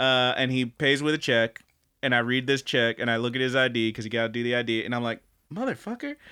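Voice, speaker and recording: A male voice of medium pitch with a bright, sharp tone. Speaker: anime podcast host. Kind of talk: casual chat, review podcast. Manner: joking, banter.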